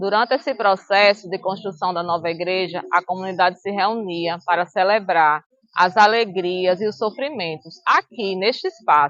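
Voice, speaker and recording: This woman has an unremarkable speaking voice at a medium pitch with ordinary pitch variation. She talks at a moderate pace with hardly any pauses. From Extremoz, Rio Grande do Norte, northeast Brazil. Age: 50s. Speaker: teacher and local historian. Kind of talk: documentary narration. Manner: formal.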